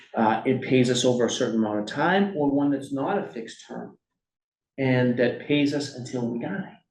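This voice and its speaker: Audible room echo surrounds a man's voice. He speaks at a moderate pace and medium pitch. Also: ordinary pitch variation. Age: 40s. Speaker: workshop presenter. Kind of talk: workshop lecture. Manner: conversational, frequent fillers and okay checks.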